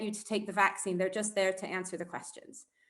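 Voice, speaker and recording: A woman's bright, sharp tone with an American accent. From United States. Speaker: public health community engagement lead. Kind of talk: talk to community group. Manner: halting.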